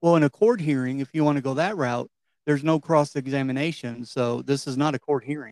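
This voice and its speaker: A man with a Kentucky accent talks at a fairly quick pace in a fairly high pitch with ordinary pitch variation. The sound is dry and close, with no echo. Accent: Kentucky Southern. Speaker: podcast host. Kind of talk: political discussion; podcast intro.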